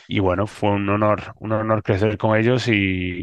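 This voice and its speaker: Noticeable background noise sits behind a man whose fairly low pitch stays in a monotone, flat intonation. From Spain. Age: 30s. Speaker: scientist. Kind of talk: interview. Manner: hesitant with fillers.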